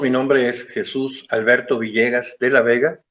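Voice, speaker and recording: A man's plain, everyday voice, medium in pitch, with fairly even intonation and a moderate pace. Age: 50s. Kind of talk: interview testimony.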